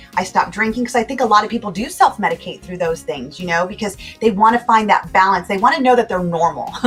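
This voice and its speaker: A woman speaks at a medium pitch with lively intonation while music plays in the background. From California, USA. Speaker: motivational speaker and life coach. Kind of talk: interview answer.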